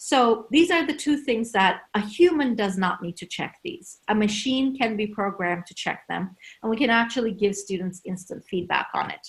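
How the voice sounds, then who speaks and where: In a Turkish accent, a woman speaks at a moderate pace with lively intonation. Her voice is fairly high and somewhat breathy. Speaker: university lecturer. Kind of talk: conference talk.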